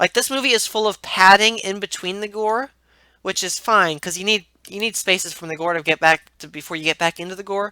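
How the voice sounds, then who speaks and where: A woman speaks at medium pitch with ordinary pitch variation in a bright, sharp tone. The sound is dry and close with no echo, on a very clean recording with a silent background. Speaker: movie reviewer. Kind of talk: casual monologue. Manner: halting, many false starts.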